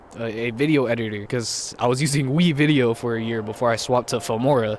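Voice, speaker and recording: There is noticeable background noise as a man talks at a moderate pace. His voice is medium in pitch, with ordinary pitch variation. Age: 20s. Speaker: YouTuber and musician. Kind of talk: casual vlog monologue. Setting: outdoors. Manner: halting, filler-heavy.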